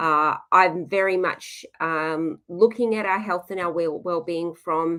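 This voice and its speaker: A woman with an Australian accent speaks at a fairly slow pace in a medium pitch. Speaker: nutritionist. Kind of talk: webinar presentation. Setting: live webinar video call.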